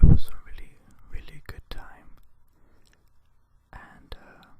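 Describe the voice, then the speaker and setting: A whispered voice moving at a fairly slow pace. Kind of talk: ASMR casual talk to camera.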